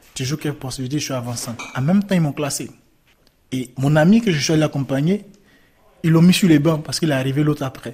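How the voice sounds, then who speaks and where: A man's fairly high, somewhat breathy voice with a dark, mellow tone, ordinary pitch variation, a very fast pace and long, frequent pauses. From Ivory Coast. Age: 20s. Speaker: migrant. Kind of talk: testimony. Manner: halting.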